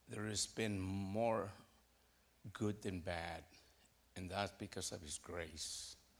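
In an American accent, the speaker goes at a very slow pace with fairly even intonation. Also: man. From Moorpark, California. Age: 60s. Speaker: congregation member giving testimony. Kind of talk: testimony.

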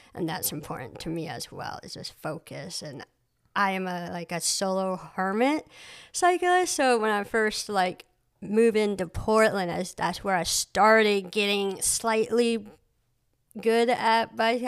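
A woman with an American accent speaks at a fairly slow pace in a medium pitch with ordinary pitch variation, a normal speaking voice. The recording is very clean, with a silent background. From Maine, US (adopted from Cambodia as infant). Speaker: artist and photographer. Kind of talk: casual interview. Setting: home studio.

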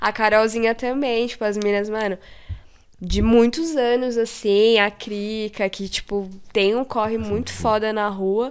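A woman uses a normal speaking voice at a fairly high pitch, talking at a fairly slow pace with fairly even intonation. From São Paulo metro area (ABC Paulista, Taboão da Serra). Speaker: illustrator and graffiti artist. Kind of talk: casual chat.

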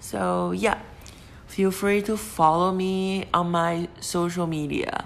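A woman speaks with a Chinese accent in a fairly low pitch. Her pace is very slow and her intonation fairly even. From China. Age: 20s. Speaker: podcast host. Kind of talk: casual monologue. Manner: hesitant, many fillers.

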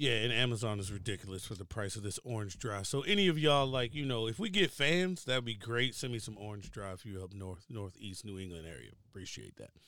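A man with an American accent talks at a very fast pace in a medium pitch, his tone bright and sharp. His intonation is lively with big swings in loudness, in a very clean recording with a silent background. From Baltimore, Maryland. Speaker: podcast host, retired Air Force veteran. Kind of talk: casual chat.

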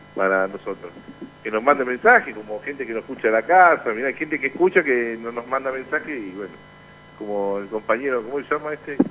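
A man speaks at a fairly quick pace with a medium pitch and ordinary pitch variation. Noticeable noise sits in the background. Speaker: union radio show host. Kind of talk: casual radio chat.

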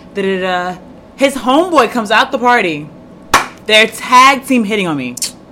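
Over noticeable background noise, a woman with a fairly high pitch and very wide pitch swings speaks at a moderate pace. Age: 20s. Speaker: podcast host. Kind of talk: casual chat.

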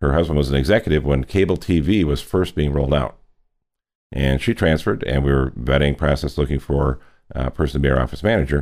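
Very fast and very deep, a man talks in an American accent. Vocal fry runs through his low voice. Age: 60s. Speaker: real estate business leader. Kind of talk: interview.

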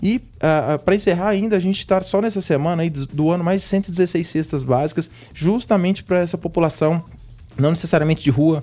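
A man with a Santa Catarina accent talks at a fairly quick pace. His pitch is high and his loudness very even. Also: ordinary pitch variation. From Santa Catarina, Brazil (Blumenau). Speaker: university relations supervisor. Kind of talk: radio interview.

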